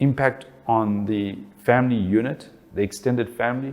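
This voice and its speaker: This man speaks at a medium pitch with a South African accent. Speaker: family relationships speaker. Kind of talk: talk.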